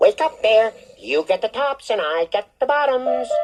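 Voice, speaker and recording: With faint music in the background, a female-sounding voice puts on a character voice at a fairly high pitch and a moderate pace. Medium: read story. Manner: smooth, persuasive, chuckling.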